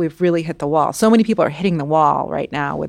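The voice carries audible vocal fry. The recording is very clean, with a silent background. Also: woman. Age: 40s. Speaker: novelist. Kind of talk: interview.

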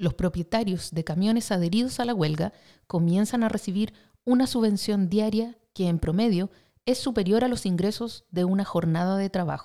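Solemn in tone, a woman speaks at a medium pitch and moderate pace, her voice dark and mellow with ordinary pitch variation. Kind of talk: news reading. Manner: formal, brisk newsreader cadence; even, solemn delivery of headlines.

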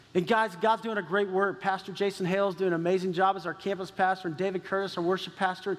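The voice carries a Texan accent. It moves at a very fast pace. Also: man. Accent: Texan American. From Texas. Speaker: pastor. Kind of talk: sermon. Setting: church. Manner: animated.

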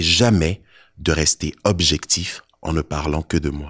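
On a very clean recording with a silent background, a man speaks at a fairly slow pace in a dry, close sound with no echo. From Côte d'Ivoire. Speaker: poet and rapper. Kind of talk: spoken word performance. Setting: stage with audience.

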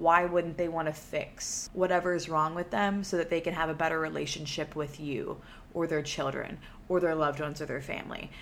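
This woman has a plain, everyday voice, fairly low in pitch, with an American accent. She talks at a fairly quick pace with fairly even intonation. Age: 20s. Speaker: podcast host. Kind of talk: casual monologue. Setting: solo recording. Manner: casual, filler-heavy.

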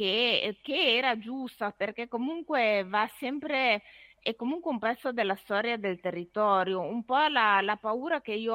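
With a normal speaking voice, a woman talks at a moderate pace in a fairly high pitch with ordinary pitch variation. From Ferrara, Emilia-Romagna. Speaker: author. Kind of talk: casual chat.

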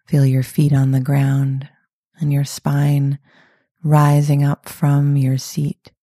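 A woman's very deep, low voice, somewhat breathy, dark and mellow, with a calm, soothing tone, monotone flat intonation, a very slow pace, and a dry, close sound with no echo. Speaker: meditation guide. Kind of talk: guided meditation. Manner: slow, calm, soothing; soft-spoken, gentle, pausing often.

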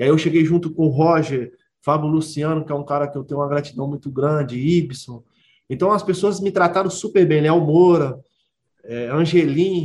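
A man with a fairly high pitch talks moderately fast, his pitch varying in an ordinary way. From Belo Horizonte, Brazil. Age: 30s. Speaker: professional footballer. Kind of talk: interview. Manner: halting, many repetitions and fillers.

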